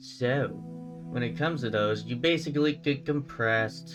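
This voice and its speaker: A man speaks with lively intonation at a moderate pace. Music plays in the background. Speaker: gaming youtuber. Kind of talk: casual commentary. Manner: casual, filler-heavy.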